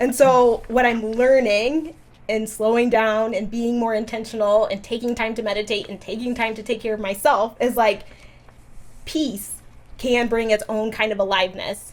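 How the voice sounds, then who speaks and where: With fairly even intonation, a woman talks at a fairly high pitch. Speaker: nurse practitioner. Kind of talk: casual podcast conversation. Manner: fast.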